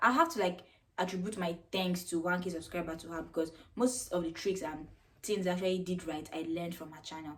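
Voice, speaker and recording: With a Nigerian accent, a woman talks at a fairly quick pace with ordinary pitch variation. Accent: Nigerian accent, described as weird. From Nigeria (Jos, Plateau State). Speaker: YouTuber. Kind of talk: casual vlog Q&A. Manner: casual, chatty.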